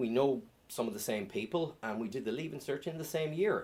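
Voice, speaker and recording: A man speaks with an Irish accent at a moderate pace. His voice carries vocal fry. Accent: Irish (Galway). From Ireland, Salthill, Galway. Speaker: stand-up comedian. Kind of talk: stand-up. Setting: stage with audience.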